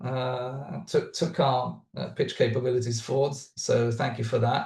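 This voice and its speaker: A man's somewhat breathy voice at a fairly slow pace. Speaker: startup founder. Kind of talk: webinar talk. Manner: halting, many fillers.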